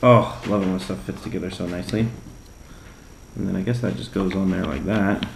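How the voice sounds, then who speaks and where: A soft-spoken man's very deep, low voice with vocal fry, a fairly quick pace, ordinary pitch variation, long, frequent pauses and audible room echo. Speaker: RC hobby YouTuber. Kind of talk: hobby build tutorial. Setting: home workbench late at night. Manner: casual, playful.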